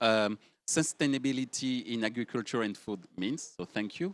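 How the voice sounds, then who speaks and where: A man at a moderate pace with ordinary pitch variation, in a dry, close sound with no echo against a quiet background. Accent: French. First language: French. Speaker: panel moderator. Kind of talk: panel discussion.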